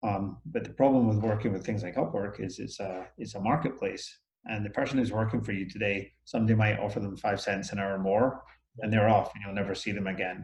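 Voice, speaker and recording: A man with a fairly low pitch talks at a fairly quick pace. His voice is somewhat breathy and his intonation fairly even. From Scotland. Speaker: business owner. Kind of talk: interview. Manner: hesitant, many fillers.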